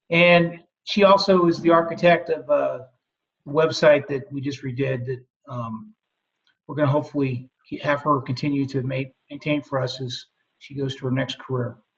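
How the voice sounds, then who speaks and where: A man's somewhat breathy, fairly high voice with fairly even intonation, big swings in loudness, and long, frequent pauses. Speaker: university veterans services staff. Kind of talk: webinar presentation. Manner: fast.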